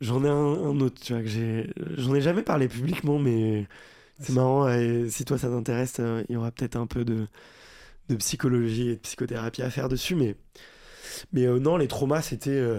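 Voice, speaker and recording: On a very clean recording with a silent background, a man with a medium pitch and a dark, mellow tone speaks with fairly even intonation and long, frequent pauses. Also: moderate pace. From France, Paris. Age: 30s. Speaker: entrepreneur and podcaster. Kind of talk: casual interview.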